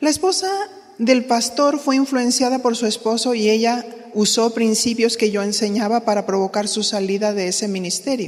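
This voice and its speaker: At a moderate pace, a woman with an unremarkable speaking voice talks at a fairly high pitch with ordinary pitch variation. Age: 60s. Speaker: pastor's wife teaching women leaders. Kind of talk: sermon-style teaching.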